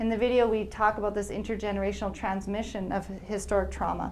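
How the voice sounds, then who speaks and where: A woman with a Canadian accent and vocal fry, medium in pitch, at a fairly quick pace amid audible room echo. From Alberta, Canada. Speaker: researcher and speaker on historical trauma. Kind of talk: lecture.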